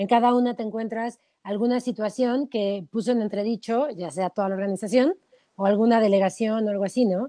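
A woman speaks at a fairly quick pace with a dark, mellow tone. Her pitch sits fairly high and varies in an ordinary way. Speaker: sports podcast co-host. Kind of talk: casual chat. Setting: live stream.

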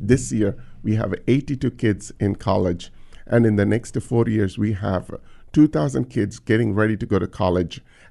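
A man with a dark, mellow tone speaks fairly low with vocal fry and lively intonation. His pace is fairly slow, and the background is quiet. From India. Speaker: nonprofit founder. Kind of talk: interview.

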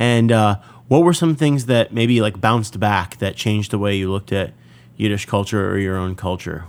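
In a very clean recording with a silent background, a man with a normal speaking voice talks at a moderate pace in a fairly low pitch. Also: ordinary pitch variation. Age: 30s. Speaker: podcast host and klezmer musician. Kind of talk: interview; scripted narration.

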